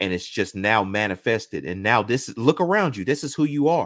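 A man with an American accent and an unremarkable speaking voice talks at a moderate pace with lively intonation. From Oklahoma. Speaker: musician and marketer. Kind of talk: interview testimony. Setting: video call.

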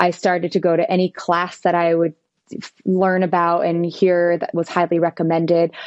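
A woman at a fairly low pitch and moderate pace, with very even loudness. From western New Jersey, US. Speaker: performer and fitness instructor. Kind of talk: casual interview. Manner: energetic.

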